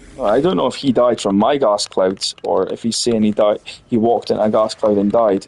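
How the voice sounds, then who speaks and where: A man speaks with a Scottish accent at a moderate pace. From Scotland. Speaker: gaming streamer. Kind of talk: casual gameplay commentary.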